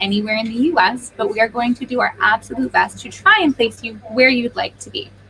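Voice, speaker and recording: Over noticeable background noise, a woman speaks in an animated tone at a very fast pace. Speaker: recruitment agency presenter. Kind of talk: live-streamed info session.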